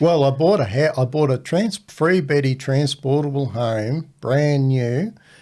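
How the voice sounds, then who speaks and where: In an Australian accent, a man with a fairly high pitch and a dark, mellow tone speaks at a fairly slow pace with hardly any pauses, ordinary pitch variation and very even loudness. The recording is very clean, with a silent background. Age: 60s. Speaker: podcast host's father. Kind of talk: casual chat.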